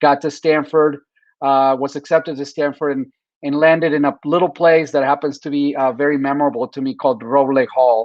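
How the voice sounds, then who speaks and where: A man speaks fairly quickly with a Spanish accent. His pitch is fairly high and his intonation is monotone and flat. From Mexico City, Mexico; teens in San Diego. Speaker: tech professional. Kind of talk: interview. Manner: halting, many fillers and restarts.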